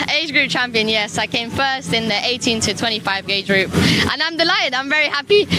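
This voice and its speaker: Backed by music, a woman talks at a fairly quick pace in a high pitch with lively intonation. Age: 20s. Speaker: obstacle race athlete. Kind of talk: interview.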